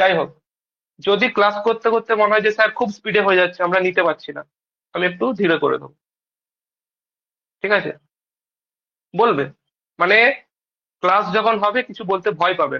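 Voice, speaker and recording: A man speaks in a raised, projected voice, high in pitch with a bright, sharp tone. His pitch varies in an ordinary way, and his loudness swings widely. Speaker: maths tutor. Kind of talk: informal talk to students.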